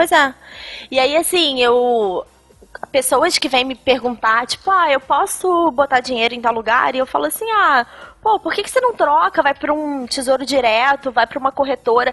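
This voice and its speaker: A woman's high voice with lively intonation at a moderate pace, music playing in the background. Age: 20s. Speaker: personal finance expert. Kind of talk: casual chat.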